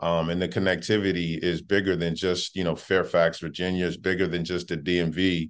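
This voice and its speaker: With monotone, flat intonation, a man speaks in a very deep, low pitch. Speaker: college basketball head coach. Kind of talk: interview.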